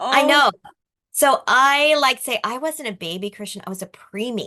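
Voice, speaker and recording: A bright, sharp voice, raised and projected, moves at a moderate pace with big swings in loudness. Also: woman, high pitch for a woman. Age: 60s. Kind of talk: interview answer.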